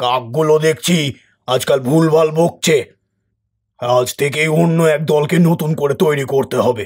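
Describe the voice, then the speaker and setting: A cartoonish character voice moves at a fairly slow pace. Its intonation is fairly even and its loudness very even. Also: man, fairly high pitch for a man. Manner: commanding, gruff.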